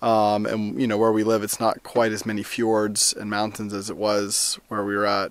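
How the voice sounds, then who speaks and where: Against a quiet background, a man speaks at a moderate pace, the sound dry with no echo. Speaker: family vlogger. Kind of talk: casual vlog chat. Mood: grateful, warm. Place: open country. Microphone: phone near.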